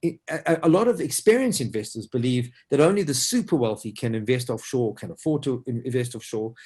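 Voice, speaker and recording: A man speaks in a dark, mellow tone that is somewhat breathy. His intonation is lively. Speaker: financial advisor. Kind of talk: webinar presentation. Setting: online webinar. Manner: fast; animated.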